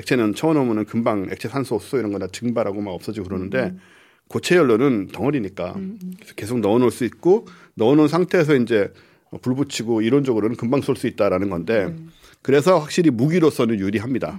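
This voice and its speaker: A man at a very fast pace with lively intonation and medium pitch, on a very clean recording with a silent background. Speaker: podcast host, astronomer. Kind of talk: casual chat.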